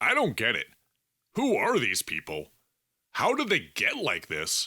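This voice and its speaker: A man's put-on character voice at a moderate pace, dry and close with no echo. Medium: read story. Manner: casual, informal.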